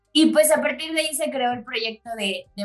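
Over music in the background, a woman speaks at a fairly slow pace, her pitch swinging very widely. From Chiapas, Mexico. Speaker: specialty coffee business owner. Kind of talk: casual interview.

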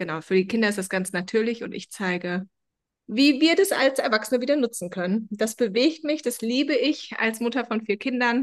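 A moderate pace and lively intonation in an ordinary speaking voice. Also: woman, fairly high pitch for a woman. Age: 40s. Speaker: founder of a self-help method. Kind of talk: interview. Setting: video call.

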